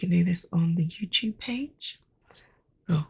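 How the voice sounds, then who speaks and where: A soft-spoken woman whispers very slowly in a somewhat breathy voice. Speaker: podcast host and storyteller. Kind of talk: casual outro. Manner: whispering, soft.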